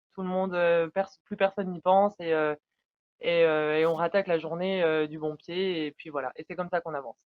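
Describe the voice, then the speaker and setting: A woman talks in an unremarkable speaking voice at a fairly low pitch and moderate pace. Her intonation is fairly even, though her loudness swings widely. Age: 20s. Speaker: dairy cattle farmer. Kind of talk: interview answer.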